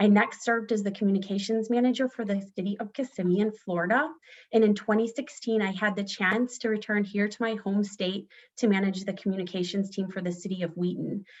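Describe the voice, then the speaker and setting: A woman speaks fairly quickly at a medium pitch, somewhat breathy, with fairly even intonation. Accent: American. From northern Illinois, US. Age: 40s. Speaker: political candidate. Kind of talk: candidate forum opening statement.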